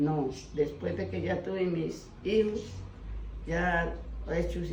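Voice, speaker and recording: Both audible room echo and noticeable background noise accompany a woman as she speaks. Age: 70s. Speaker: elderly village woman, fique spinner. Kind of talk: life story interview. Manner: halting.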